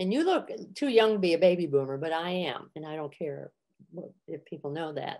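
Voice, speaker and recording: With lively intonation and a moderate pace, a woman talks in an ordinary speaking voice at a fairly low pitch. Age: 60s. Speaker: comedian and therapist. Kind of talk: podcast interview.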